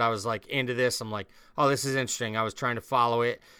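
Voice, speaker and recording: A man's voice has a bright, sharp tone on a very clean recording with a silent background. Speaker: podcast co-host. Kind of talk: casual podcast chat.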